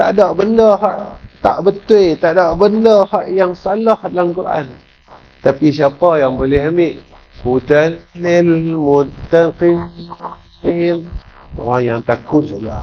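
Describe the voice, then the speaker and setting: A man with high pitch and lively intonation, very slow pace and long, frequent pauses, over noticeable background noise. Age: 60s. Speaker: Islamic preacher. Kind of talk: religious lecture. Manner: animated.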